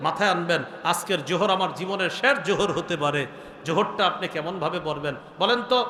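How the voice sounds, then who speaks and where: Over noticeable background noise, a man projects his raised, high-pitched voice. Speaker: Islamic scholar, waz preacher. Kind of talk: Islamic sermon (waz) delivered to an audience. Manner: conversational, rhetorical questions, earnest.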